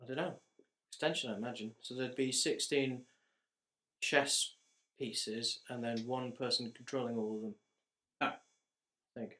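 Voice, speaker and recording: With a bright, sharp tone at medium pitch, a man speaks with fairly even intonation and long, frequent pauses. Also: moderate pace. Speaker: student podcast host. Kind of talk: casual chat. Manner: laughing often.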